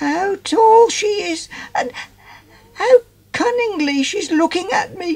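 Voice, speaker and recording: An extremely high-pitched put-on character voice moves at a fairly slow pace. Long pauses come often. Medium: read story. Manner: stammering, shy.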